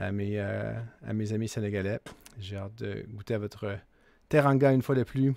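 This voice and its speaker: In a strong Quebec accent, a man speaks at a moderate pace with a fairly low pitch, a dark, mellow tone, fairly even intonation and long, frequent pauses, on a very clean recording with a silent background. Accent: Québécois French, strong. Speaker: political commentator, channel owner. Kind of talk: casual vlog commentary. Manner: hesitant, many filler 'euh'.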